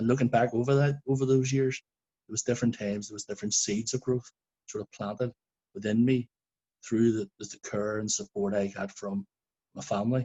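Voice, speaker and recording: In a Belfast accent, a man talks at a fairly quick pace with long, frequent pauses, his medium pitch held in fairly even intonation. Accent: Belfast Northern Irish. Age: 40s. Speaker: shooting survivor witness. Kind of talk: testimony.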